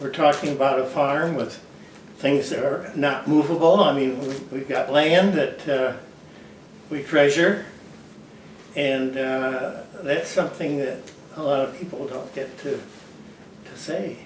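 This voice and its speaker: Amid noticeable background noise and audible room echo, a man talks at a fairly slow pace in a fairly high pitch, with fairly even intonation and long, frequent pauses. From Michigan, Grand Rapids. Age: 90s. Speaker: retired orchard farmer. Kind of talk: interview.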